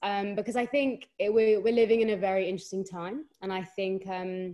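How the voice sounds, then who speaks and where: Speaking in a strong London accent, the voice has a dark, mellow tone and ordinary pitch variation against a quiet background. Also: woman. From London, England. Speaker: podcast co-host, guest. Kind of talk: casual podcast chat.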